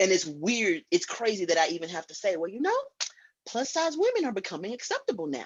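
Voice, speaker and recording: Loud and very fast, a woman talks at a medium pitch. Her pitch swings very widely. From Illinois, Chicago. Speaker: guest. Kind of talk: casual chat.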